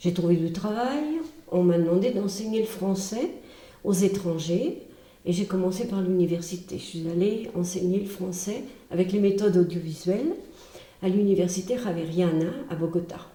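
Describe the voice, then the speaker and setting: Moderate pace, ordinary pitch variation and long, frequent pauses, with audible room echo and noticeable background noise. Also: woman, medium pitch for a woman. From Brittany, France. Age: 70s. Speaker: retired teacher and charity founder. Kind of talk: testimony. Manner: hesitant, with filler sounds.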